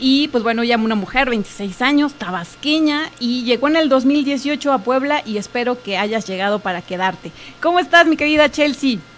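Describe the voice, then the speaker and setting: Speaking at a high pitch, a woman uses lively intonation and a moderate pace with hardly any pauses. Background noise is noticeable. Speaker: radio host. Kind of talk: casual radio chat. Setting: radio studio with Facebook Live.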